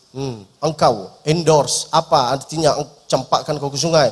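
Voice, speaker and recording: Someone with an Arabic accent speaks at a moderate pace in an animated tone. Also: man. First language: Arabic (speaking Indonesian). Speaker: preacher. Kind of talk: sermon. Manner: humorous, animated.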